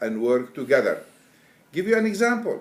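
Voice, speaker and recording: With an Arabic accent, a man speaks using very wide pitch swings. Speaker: Quran translator. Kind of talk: interview. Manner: halting.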